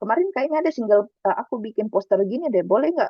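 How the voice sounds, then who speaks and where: Her intonation is lively. This woman talks at a very fast pace. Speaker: bootcamp instructor. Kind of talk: online lecture. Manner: fast, animated.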